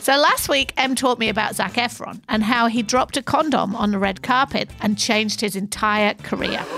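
Noticeable background noise surrounds a woman with a fairly high pitch and ordinary pitch variation. She keeps a moderate pace with hardly any pauses and very even loudness. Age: 50s. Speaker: podcast co-host, head of content. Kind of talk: casual storytelling chat.

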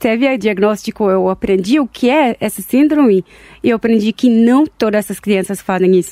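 A woman's fairly high voice, dark and mellow in tone, with a strong non-native accent and a dry, close sound with no echo. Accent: strong foreign accent in Portuguese. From Israel, Tel Aviv. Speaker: entrepreneur and chronic illness advocate. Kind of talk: interview. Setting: studio. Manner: halting.

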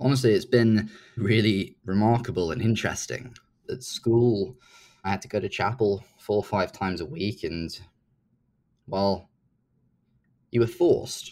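With a British accent, a man speaks at a fairly slow pace in a medium pitch with ordinary pitch variation and long, frequent pauses. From UK. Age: 20s. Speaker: startup founder. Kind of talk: interview.

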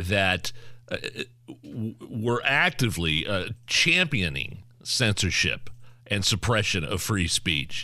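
In an American accent, a man talks at a very slow pace with long, frequent pauses, his fairly low pitch moving through very wide swings. His tone is bright and sharp, with vocal fry and very even loudness. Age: 40s. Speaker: radio host. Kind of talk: casual chat.

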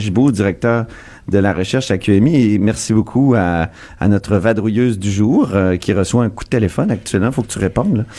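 A man speaks at a medium pitch and a fairly slow pace, with lively intonation. Background noise is noticeable. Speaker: political radio host. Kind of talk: radio talk show. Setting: studio.

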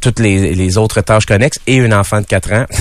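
Fairly slow and fairly low in pitch, this man has a plain, everyday voice. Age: 40s. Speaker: musician and showman. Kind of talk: casual chat interview. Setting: radio studio.

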